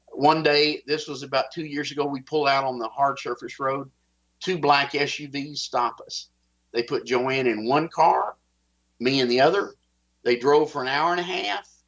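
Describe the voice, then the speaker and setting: A man speaking in a Texas accent, with fairly even intonation. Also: fairly high pitch for a man, moderate pace. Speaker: whistleblower. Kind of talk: interview, personal account.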